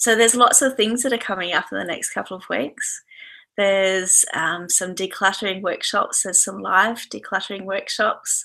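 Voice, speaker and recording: A bright, sharp tone in a woman's medium-pitched voice. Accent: Australian. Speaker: yoga and decluttering teacher. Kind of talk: webinar talk. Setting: online video broadcast from home.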